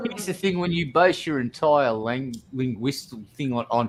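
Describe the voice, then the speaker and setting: Against noticeable background noise, a man with a Southern accent speaks in a fairly high voice with ordinary pitch variation. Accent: Southern, near-redneck. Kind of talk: casual, joking.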